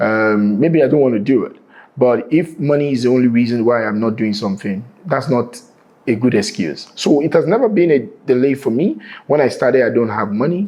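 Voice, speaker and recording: Speaking at a fairly quick pace, a man with a Nigerian accent uses a medium pitch and lively intonation. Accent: Nigerian (Yoruba) English. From Nigeria, Lagos. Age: 40s. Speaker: real estate entrepreneur. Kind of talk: interview.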